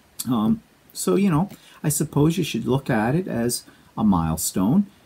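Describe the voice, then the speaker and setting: A man with a Canadian accent speaks at a fairly slow pace and a fairly high pitch. His somewhat breathy voice has a dark, mellow tone and very wide pitch swings. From Canada. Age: 60s. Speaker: quilting vlogger. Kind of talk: casual vlog monologue. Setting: home studio. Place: home room. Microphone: lapel.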